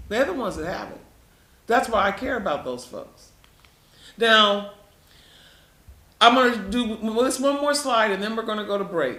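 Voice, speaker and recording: With long, frequent pauses, a man projects a raised, high voice at a moderate pace, his loudness swinging widely and his pitch varying in an ordinary way amid audible room echo. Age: 70s. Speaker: health educator presenting to patients. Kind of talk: health lecture with slides. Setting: live stream presentation. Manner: conversational, repetitive.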